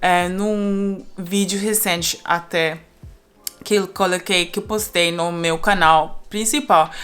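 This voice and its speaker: A woman speaks at a very slow pace and medium pitch, with ordinary pitch variation. There is noticeable background noise. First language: not Portuguese; learned Brazilian Portuguese (speaking Portuguese). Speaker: polyglot YouTuber. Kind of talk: casual vlog monologue. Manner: halting, with fillers.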